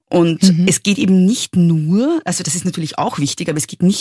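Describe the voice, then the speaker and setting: A woman with an Austrian accent, fairly low pitch, vocal fry, ordinary pitch variation and a fairly quick pace, in a dry, close sound with no echo. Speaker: feminist author. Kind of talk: interview.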